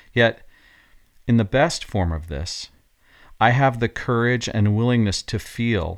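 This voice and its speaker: A man with an ordinary speaking voice shows ordinary pitch variation. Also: very clean recording, silent background. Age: 50s. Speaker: podcast host and coach. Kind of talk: scripted reflective monologue.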